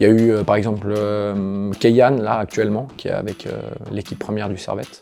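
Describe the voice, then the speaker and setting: A man with a fairly low voice talks while music plays behind him. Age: 30s. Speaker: office employee. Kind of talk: interview. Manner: hesitant, many fillers.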